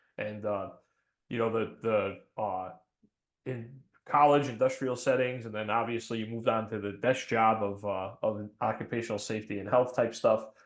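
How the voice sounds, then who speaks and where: Here a man with a New England accent speaks at a fairly quick pace with ordinary pitch variation. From New England, between Boston and New York. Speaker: fire chief and podcast host. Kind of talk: casual podcast chat. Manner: hesitant, many fillers.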